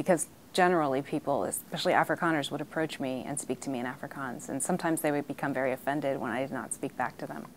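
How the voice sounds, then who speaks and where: A woman's very deep, low voice with an American accent, very fast and with hardly any pauses, fairly even in intonation over light background noise. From US, raised partly abroad (Ghana, Liberia). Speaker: diplomat's daughter recounting family history. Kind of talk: interview testimony. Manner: hesitant, frequent fillers. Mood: reflective, at times emotional. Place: meeting room. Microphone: lapel.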